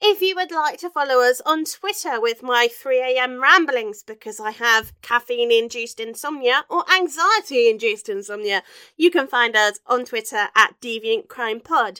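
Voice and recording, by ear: A woman with a fairly high pitch and ordinary pitch variation speaks at a moderate pace in a clear, smooth yet bright, sharp tone, with a dry, close sound with no echo.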